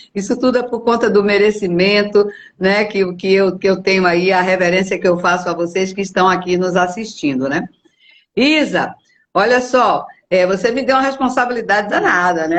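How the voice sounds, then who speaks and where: A woman with an unremarkable speaking voice uses lively intonation, keeping a medium pitch and a moderate pace. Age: 60s. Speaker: company executive, documentation center specialist. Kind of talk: live interview. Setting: video call livestream.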